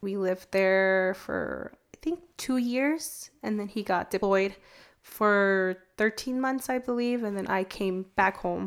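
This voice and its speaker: In a very clean recording with a silent background, a woman with an American accent talks at a very slow pace, at medium pitch with ordinary pitch variation. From California, US. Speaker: military spouse sharing faith story. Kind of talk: testimony. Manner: halting.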